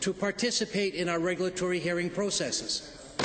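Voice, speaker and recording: Fairly quick speech from a man amid noticeable background noise. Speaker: member of the legislative assembly questioning a minister. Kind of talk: formal legislature question period speech.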